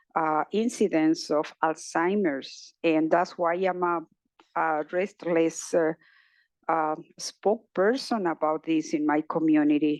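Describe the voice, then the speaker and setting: Over a quiet background, a woman speaks at a very slow pace with a fairly low pitch and ordinary pitch variation, in a dry, close sound with no echo. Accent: Spanish. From Mexico, Guadalajara. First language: Spanish. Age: 60s. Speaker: journalist and research participant. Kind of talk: personal testimony at event. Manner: halting, many fillers.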